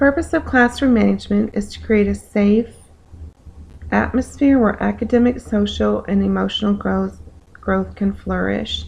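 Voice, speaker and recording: A woman's raspy, put-on character voice at a moderate pace. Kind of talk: reading a prepared statement.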